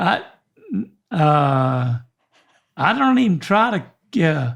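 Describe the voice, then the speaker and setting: Speaking at a very slow pace, a man with a Southern US accent swings his pitch very widely. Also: fairly high pitch for a man. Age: 70s. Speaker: podcast co-host. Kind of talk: casual chat. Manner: halting.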